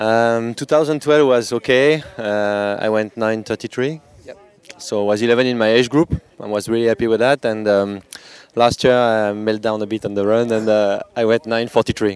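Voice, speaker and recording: A man in a French accent, medium-pitched and fairly slow, with fairly even intonation and a dry, close sound with no echo over noticeable background noise. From France. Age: 40s. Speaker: age-group triathlete. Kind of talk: interview.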